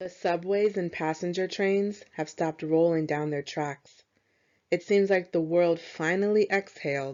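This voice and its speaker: This woman has a plain, everyday voice at a fairly low pitch. She speaks at a fairly slow pace with fairly even intonation. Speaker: poet. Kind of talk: spoken word poetry reading.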